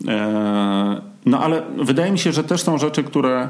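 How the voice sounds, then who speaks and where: A man with a medium pitch makes very wide pitch swings. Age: 40s. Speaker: podcast host, amateur marathon runner. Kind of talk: casual chat.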